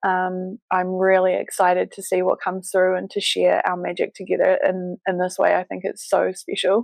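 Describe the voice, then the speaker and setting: Hardly pausing, a woman with a New Zealand accent speaks at a moderate pace in a dry, close sound with no echo. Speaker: business mentor and embodiment coach. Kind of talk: interview podcast. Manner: hesitant with fillers.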